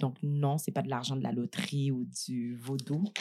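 Her pace is moderate and her pitch variation ordinary. The woman's voice is very deep and low on a very clean recording with a silent background. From Montreal, Quebec (Saint-Michel, Montréal-Nord). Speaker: entrepreneur and business leader. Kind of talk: casual interview. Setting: studio, eating a meal during recording.

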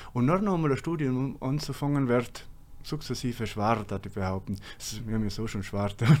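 Speaking with a South Tyrolean accent, a man keeps a moderate pace and medium pitch with lively intonation. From South Tyrol, Langtaufers valley. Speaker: engineer, former ski racer. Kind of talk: interview.

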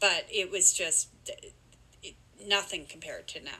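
With a Canadian accent, a woman speaks at a medium pitch and a moderate pace in a bright, sharp tone. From Ontario, Canada. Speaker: podcast guest, host's mother. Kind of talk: interview. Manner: hesitant, with fillers.

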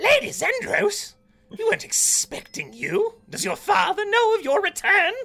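In a put-on character voice, a man talks at a moderate speed with an extremely high pitch.

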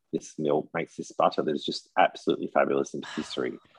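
A man's voice in an Australian accent, with a dry, close sound and no echo. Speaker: tour guide in France. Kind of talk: casual chat.

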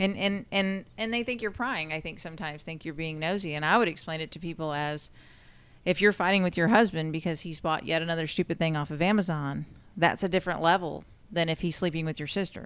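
A woman speaks at a very fast pace with a fairly low pitch and ordinary pitch variation. The recording is very clean, with a silent background. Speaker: sheriff's deputy, prisoner transport. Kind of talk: casual chat.

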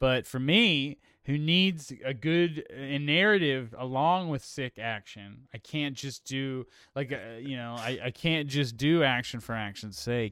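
A man's plain, everyday voice at medium pitch, fairly slow pace and ordinary pitch variation. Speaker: podcast host. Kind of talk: casual chat. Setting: remote call.

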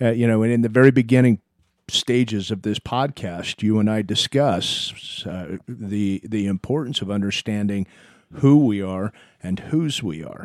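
Man with an ordinary speaking voice, fairly low in pitch with ordinary pitch variation, on a very clean recording with a silent background. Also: moderate pace, dry, close sound with no echo. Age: 50s. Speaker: podcast host. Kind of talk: casual chat.

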